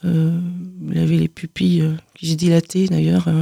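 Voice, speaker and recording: The recording is dry and close, with no echo. In it, a woman speaks at a very slow pace. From southern France (Aude, Carcassonne area). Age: 50s. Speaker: author giving testimony. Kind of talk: radio interview testimony. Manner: halting, many repetitions.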